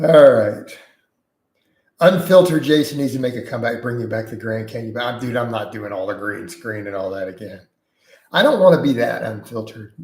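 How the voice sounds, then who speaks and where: At a fairly quick pace, a man speaks in a somewhat breathy, medium-pitched voice, with lively intonation and big swings in loudness. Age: 40s. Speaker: fitness coach and YouTuber. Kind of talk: live stream chat Q&A. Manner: casual, conversational.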